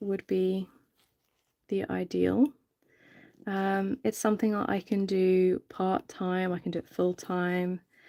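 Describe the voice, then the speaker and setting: A woman with a British accent talks at a very slow pace in a relaxed, dark, mellow tone, leaving long, frequent pauses. Her intonation is fairly even, and the sound is dry and close with no echo. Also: medium pitch for a woman. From UK. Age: 30s. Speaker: reborn doll artist, live streamer. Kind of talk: casual live stream chat while working. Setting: live stream. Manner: relaxed, many filler ums.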